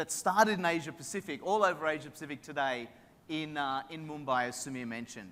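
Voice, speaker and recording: A man talks at a very fast pace in an Australian accent. His pitch is fairly high and his tone is bright and sharp. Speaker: tech company executive. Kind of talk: conference keynote. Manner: casual, filler-heavy.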